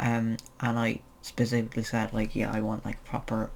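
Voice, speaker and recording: A man with an Irish accent speaks in a monotone, flat intonation. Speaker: transgender vlogger. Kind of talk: casual vlog update. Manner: hesitant, many fillers.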